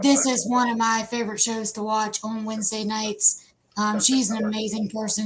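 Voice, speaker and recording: A woman with an Appalachian accent speaks at a fairly high pitch in monotone, flat intonation, with noticeable background noise. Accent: Appalachian American. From West Virginia. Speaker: live show host. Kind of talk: live stream chat.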